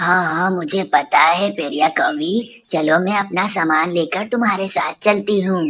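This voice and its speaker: In a cartoonish character voice that sounds female, the speaker talks at a fairly slow pace. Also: medium pitch for a woman. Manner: sly.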